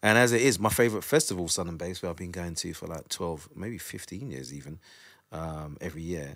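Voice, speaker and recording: In a very clean recording with a silent background, a man with a South London accent talks fairly quickly in a very deep, low voice with lively intonation. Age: 40s. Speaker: drum and bass DJ and producer. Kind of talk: casual interview chat. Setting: studio, recorded on video.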